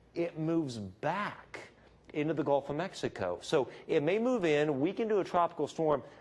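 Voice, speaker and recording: The man's pitch is fairly high and his pace moderate. He has an ordinary speaking voice. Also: lively intonation. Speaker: meteorologist. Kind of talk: TV weather forecast.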